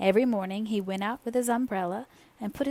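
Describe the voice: Reading aloud, plain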